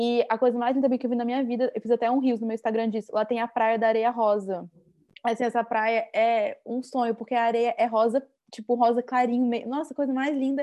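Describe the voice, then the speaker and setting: Over a quiet background, a woman speaks at a high pitch with a dark, mellow tone. Her intonation is monotone and flat, and her pace is fairly quick. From Brazil, Brasília. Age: 20s. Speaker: traveler. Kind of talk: interview.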